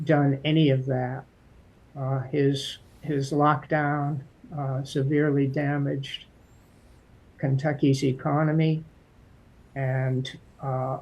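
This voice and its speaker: The voice is somewhat breathy, with an American accent and a monotone, flat intonation. It goes at a very slow pace with long, frequent pauses. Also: man. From Massachusetts, US. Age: 60s. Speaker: political candidate. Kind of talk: interview. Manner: hesitant with frequent fillers.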